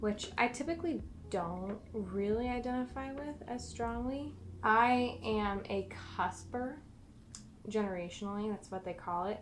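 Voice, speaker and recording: A soft-spoken, mumbling woman at a fairly high pitch and fairly slow pace, with ordinary pitch variation and audible room echo. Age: 20s. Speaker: plant content creator. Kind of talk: casual chat. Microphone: poor mic, camera far away.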